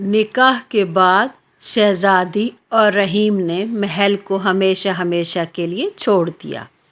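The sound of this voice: At a slow pace, a woman speaks at a medium pitch with a fairly bright tone. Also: ordinary pitch variation.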